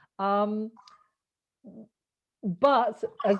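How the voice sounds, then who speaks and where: A woman with a British accent speaks in a fairly high voice. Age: 50s. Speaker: podcast host. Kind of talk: casual interview chat.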